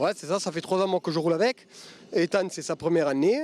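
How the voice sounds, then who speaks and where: A man speaks in a dark, mellow tone. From southern France. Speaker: race driver. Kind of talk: interview.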